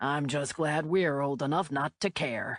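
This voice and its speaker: This is a put-on character voice, raspy and low-to-middle in pitch. The background is quiet. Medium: read story. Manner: folksy, jovial.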